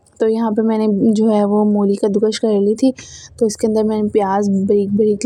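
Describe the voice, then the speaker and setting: With noticeable background noise behind her, a woman talks at a medium pitch and keeps her intonation fairly even. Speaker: lifestyle and cooking vlogger. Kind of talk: vlog voice-over narration. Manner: hesitant, many fillers.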